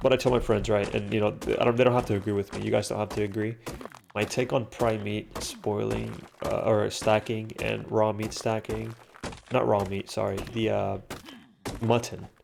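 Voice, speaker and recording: Noticeable background noise is present. Against it, a man keeps a moderate pace. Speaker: gaming commentator. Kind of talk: casual gameplay commentary. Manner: halting, many fillers and restarts.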